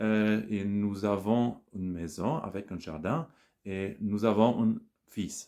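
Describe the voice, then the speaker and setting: Dark, mellow tone with a German accent and ordinary pitch variation, on a very clean recording with a silent background. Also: man. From Germany, Bonn area. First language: German (speaking French). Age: 40s. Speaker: language learner, scientific employee. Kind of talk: casual monologue practising a foreign language. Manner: halting, many hesitations.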